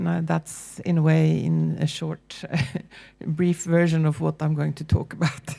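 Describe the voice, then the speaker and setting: A woman talks with a Norwegian accent. Her pace is fairly slow. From Norway. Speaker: university lecturer. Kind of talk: panel presentation. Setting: public forum with audience.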